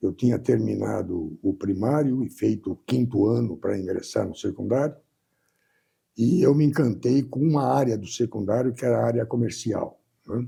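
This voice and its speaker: With vocal fry in a dark, mellow tone, a man speaks at medium pitch and a moderate pace with ordinary pitch variation. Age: 80s+. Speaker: business executive. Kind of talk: interview.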